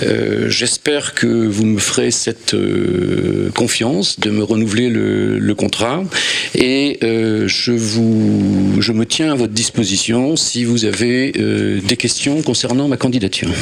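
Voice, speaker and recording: Over noticeable background noise, a man talks at a very slow pace with very even loudness. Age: 60s. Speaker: board candidate, retired engineer. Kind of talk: candidate speech at a general assembly. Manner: hesitant, many fillers.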